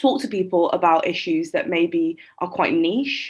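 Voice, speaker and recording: With an English accent, a woman talks at a fairly slow pace. Her intonation is lively. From England (Shropshire, West Midlands). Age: 20s. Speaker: poet and small business owner. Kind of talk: podcast interview.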